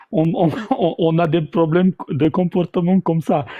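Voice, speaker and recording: The speaker is a man. His voice has a high pitch. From former Yugoslavia. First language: South Slavic language (speaking French). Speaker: debate participant. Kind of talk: live debate. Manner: halting, many repetitions. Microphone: audio cutting out, bumping mic.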